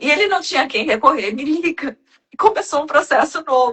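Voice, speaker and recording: A woman's high voice at a moderate pace, with lively intonation. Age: 60s. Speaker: self-development mentor. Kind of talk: casual chat.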